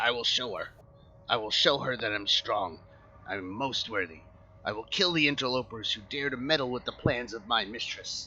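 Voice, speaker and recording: A man performs a put-on character voice full of growling and hissing, at medium pitch with ordinary variation. He keeps a moderate pace over clear background noise. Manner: furious, vengeful.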